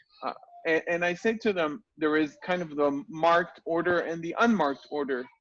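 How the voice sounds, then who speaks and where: The speaker has an Israeli accent and a moderate pace. Pitch varies in an ordinary way. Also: man, high pitch for a man. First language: Hebrew. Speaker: Hebrew teacher and interviewer. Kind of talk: interview.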